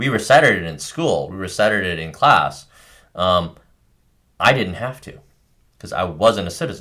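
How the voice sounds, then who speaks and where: Speaking in a Californian accent at a moderate pace, the voice has a bright, sharp tone, very wide pitch swings, big swings in loudness and long, frequent pauses. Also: man. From California, Bay Area. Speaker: podcast co-host. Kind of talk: casual discussion. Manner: halting, many fillers.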